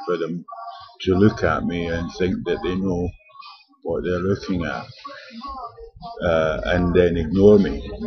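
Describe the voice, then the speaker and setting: A man talks with long, frequent pauses over noticeable background noise. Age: 60s. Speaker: homeless vlogger. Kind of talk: personal video diary. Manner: halting.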